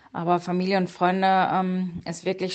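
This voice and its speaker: A woman speaks at a medium pitch and fairly slow pace, her intonation monotone and flat. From Münsterland, Germany. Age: 30s. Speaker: police detective and triathlete. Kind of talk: interview. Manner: hesitant with frequent fillers.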